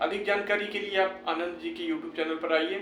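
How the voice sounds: Moderate-paced speech from a man with a high voice and fairly even intonation, plus audible room echo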